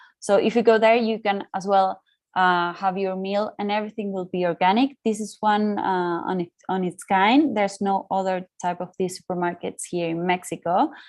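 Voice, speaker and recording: A woman with an ordinary speaking voice talks at a moderate pace in a medium pitch, with fairly even intonation and hardly any pauses. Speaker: market research consultant. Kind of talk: webinar presentation. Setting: online webinar.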